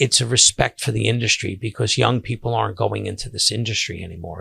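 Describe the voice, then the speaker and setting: The pace is fairly quick, and the sound is dry and close with no echo. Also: man. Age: 60s. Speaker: seafood caterer and podcast host. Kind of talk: casual monologue podcast. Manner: halting, many fillers and restarts.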